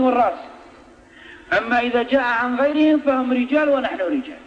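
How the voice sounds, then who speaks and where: A man speaking at an extremely high pitch keeps a moderate pace over noticeable background noise. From Algeria. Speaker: Islamic preacher. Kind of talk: religious lesson in a mosque. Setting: mosque.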